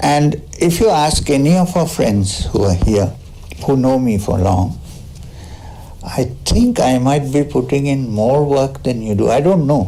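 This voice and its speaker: Amid noticeable background noise and audible room echo, a man with a medium pitch speaks at a fairly slow pace and very even loudness. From South India. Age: 60s. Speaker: spiritual teacher. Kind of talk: spiritual talk with Q&A. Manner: conversational, with hesitations.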